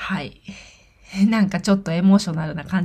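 The woman's voice comes across somewhat breathy. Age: 30s. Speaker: podcast host, hairdresser. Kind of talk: personal monologue. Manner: halting.

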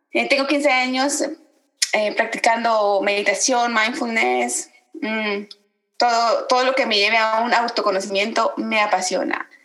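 A woman with a plain, everyday voice, fairly high in pitch, at a fairly slow pace. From Guatemala. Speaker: podcast co-host, meditation practitioner. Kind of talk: casual chat.

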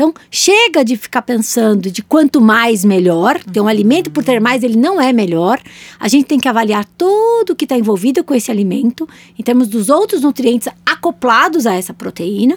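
A woman talks at a high pitch and a fairly quick pace. Her pitch swings very widely. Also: dry, close sound with no echo. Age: 40s. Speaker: nutritionist and podcast co-host. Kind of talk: casual educational chat.

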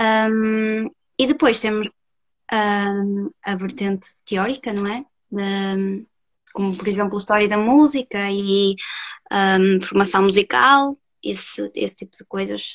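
Very slow and marked by long, frequent pauses, a woman's medium-pitched voice shows ordinary pitch variation and big swings in loudness, with a dry, close sound and no echo. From Portugal, Castelo de Paiva area. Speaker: music student, flautist. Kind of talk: interview on a live stream.

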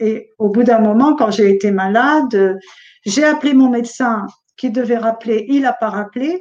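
A woman speaks at a fairly high pitch. Her pace is fairly slow. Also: ordinary pitch variation. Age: 60s. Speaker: Covid survivor. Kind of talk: testimony. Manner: halting.

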